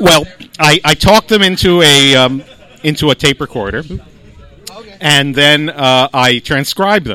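A man speaks at a fairly slow pace in a normal speaking voice, his pitch fairly high and his intonation lively. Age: 50s. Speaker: comedian and magician. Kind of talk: casual chat.

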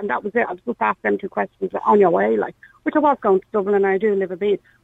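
The sound is dry and close with no echo as the words rush by at a very fast pace. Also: woman. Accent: Irish. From Ireland, Meath-Kildare border. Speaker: caller. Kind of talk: phone-in discussion. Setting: phone call.

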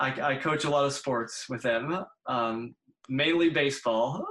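The man's pace is very slow. He talks with an American accent. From US Northeast. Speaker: speech-language pathology professor. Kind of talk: interview. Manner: halting.

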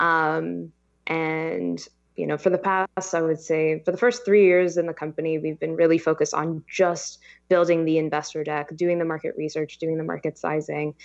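Fairly low-pitched woman's voice in a Californian accent, monotone, flat intonation and a moderate pace against a quiet background. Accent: Californian American. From Los Angeles. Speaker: startup founder. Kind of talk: interview.

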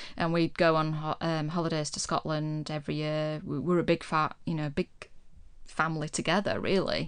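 Fairly quick speech in a West Yorkshire accent against a quiet background. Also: woman. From Yorkshire, Huddersfield. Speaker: podcast guest. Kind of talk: casual chat. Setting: studio. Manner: calm.

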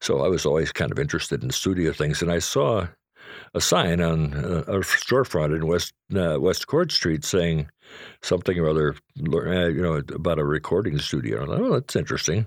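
The speaker has vocal fry and an American accent, with ordinary pitch variation at a fairly quick pace. Loudness stays very even in a very clean recording with a silent background. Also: man, very deep, low pitch for a man. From Chicago, southeast side. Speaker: local historian. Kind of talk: interview. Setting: in person.

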